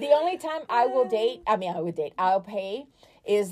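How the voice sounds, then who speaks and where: Her tone dark and mellow, a woman is speaking. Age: 40s. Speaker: nonprofit director and makeup artist. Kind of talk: casual chat.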